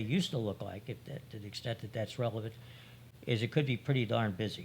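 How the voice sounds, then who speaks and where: A man with a medium pitch talks at a fairly quick pace. His voice is somewhat breathy with ordinary pitch variation. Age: 70s. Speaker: retired accounting partner and expert witness. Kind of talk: interview.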